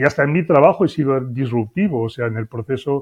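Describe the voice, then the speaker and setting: A man with a plain, everyday voice speaks at a fairly quick pace. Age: 60s. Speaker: business consultant. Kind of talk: interview.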